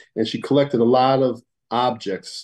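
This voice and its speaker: Here is a man with an American accent. His voice has a medium pitch. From Connecticut, US. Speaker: museum director, retired police officer. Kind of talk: radio interview.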